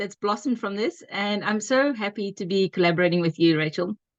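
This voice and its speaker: A woman with a South African accent talks at a moderate pace with lively intonation. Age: 40s. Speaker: homeschooling mum and business partner. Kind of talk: casual chat.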